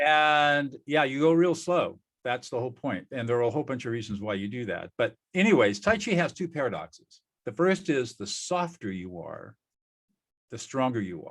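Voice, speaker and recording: A man speaks with an American accent at a fairly high pitch. His pitch swings very widely. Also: moderate pace. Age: 70s. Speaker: peacemaker and former trial lawyer. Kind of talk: interview.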